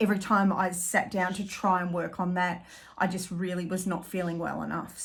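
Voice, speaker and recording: Putting on a character voice, a woman speaks at a medium pitch and moderate pace with a raspy, monotone, flat delivery over light background noise. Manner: voice choking up.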